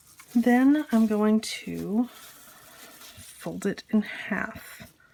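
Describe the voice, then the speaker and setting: A soft-spoken woman. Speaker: crafting video creator. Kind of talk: tutorial. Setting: home kitchen.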